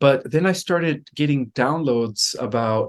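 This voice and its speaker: In a Californian accent, a man talks at a fairly slow pace with ordinary pitch variation. The background is quiet. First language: Spanish. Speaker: guest on spiritual interview show. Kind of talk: interview.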